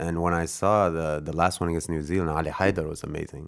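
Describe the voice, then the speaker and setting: The speaker has a Canadian accent. The pace is fairly quick. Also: man. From Canada. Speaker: basketball player. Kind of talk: casual chat.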